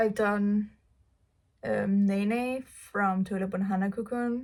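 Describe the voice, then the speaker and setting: Somewhat breathy, a woman with a Danish accent speaks at a medium pitch with fairly even intonation. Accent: Danish accent, non-native English. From Denmark. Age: 19. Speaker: cosplay YouTuber. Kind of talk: casual get-to-know-me vlog, Q&A.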